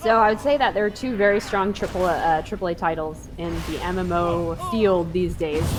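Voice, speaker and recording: A woman at a medium pitch with ordinary pitch variation, music in the background. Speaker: gaming streamer. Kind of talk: gameplay commentary. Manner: casual, conversational.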